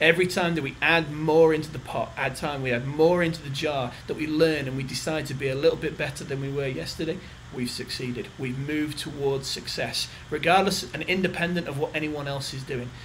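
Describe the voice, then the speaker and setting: A man with a British accent speaks at a fairly quick pace in an enthusiastic tone and a fairly high pitch, with audible room echo and noticeable background noise. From England. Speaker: company general manager. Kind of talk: recorded video message. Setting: corporate office.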